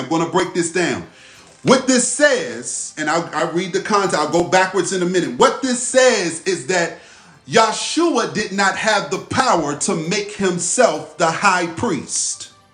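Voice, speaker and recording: Lively intonation carries over music in the background. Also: man. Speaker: spiritual teacher. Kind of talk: live religious teaching session. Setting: livestream. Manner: repetitive, emphatic; slow, deliberate when reading scripture.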